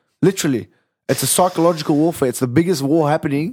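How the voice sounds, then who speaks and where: A man with an Australian accent at a fairly high pitch and a very fast pace, on a very clean recording with a silent background. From Western Sydney, Australia. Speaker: comedian and podcaster. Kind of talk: casual chat.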